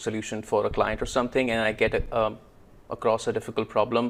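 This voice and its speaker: This is a man speaking at a medium pitch. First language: not English. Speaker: Power Query consultant and YouTuber. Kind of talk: casual chat. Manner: hesitant, many filler sounds.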